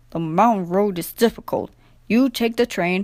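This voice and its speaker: Gruff and put-on, the character voice moves at a moderate pace in a very clean recording with a silent background. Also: woman, medium pitch for a woman. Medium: read story. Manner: stolid, gruff.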